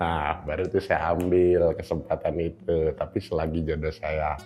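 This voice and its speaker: Music plays in the background while a man speaks in a very deep, low voice. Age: 20s. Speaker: content creator and student. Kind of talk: interview testimony. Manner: casual.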